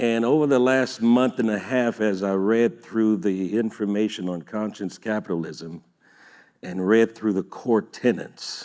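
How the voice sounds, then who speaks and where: At a fairly slow pace, a man with a slight Louisiana accent speaks at a fairly low pitch with ordinary pitch variation in a quiet background. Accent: slight Louisiana Creole twang. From US South, Louisiana (Creole). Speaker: business founder and engineer. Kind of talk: panel discussion. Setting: stage with audience.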